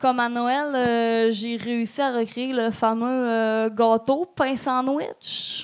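Delivered very slowly, the words carry a fairly even intonation. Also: woman. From regional Quebec. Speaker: stand-up comedian. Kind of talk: stand-up. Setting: stage with audience.

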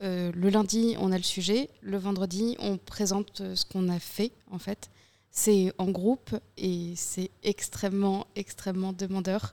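Very slowly and with fairly even intonation, a woman speaks at a medium pitch in a dry, close sound with no echo. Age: 20s. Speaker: communications student. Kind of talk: casual round-table chat.

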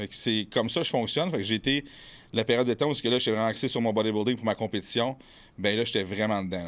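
A man's fairly low voice with ordinary pitch variation and a very fast pace, on a very clean recording with a silent background. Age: 30s. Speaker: bodybuilder and fitness coach. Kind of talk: casual chat. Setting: studio.

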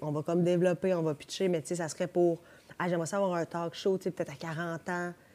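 A woman with a dark, mellow tone, very fast, flat and monotone. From Quebec (South Shore of Montreal). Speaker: podcast guest. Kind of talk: casual chat.

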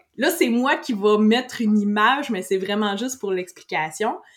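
A woman's fairly high voice with very wide pitch swings, a Quebec accent and a moderate pace. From Quebec, Saint-Hyacinthe. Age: 30s. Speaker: IT technician and business owner. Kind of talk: casual interview.

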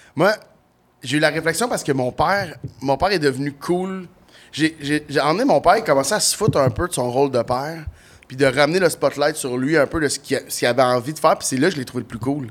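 Speaking with a Quebec accent, a man talks at a fairly quick pace. His pitch is fairly high, with ordinary pitch variation. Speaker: comedian. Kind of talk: casual chat. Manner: animated.

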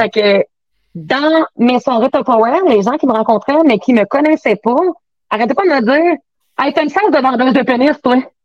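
At a moderate pace, a woman speaks at a high pitch with very even loudness. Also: lively intonation. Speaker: sex toy sales consultant. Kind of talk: casual chat.

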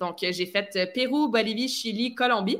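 This woman's tone is bright and sharp. Her pitch variation is ordinary. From Quebec, near Vaudreuil. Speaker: fitness coach and former figure skater. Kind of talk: interview storytelling. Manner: enthusiastic.

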